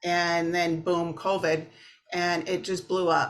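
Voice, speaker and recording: A woman with a Minnesotan accent on a very clean recording with a silent background. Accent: Minnesota. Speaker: therapist. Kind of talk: interview. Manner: casual, hesitant with fillers.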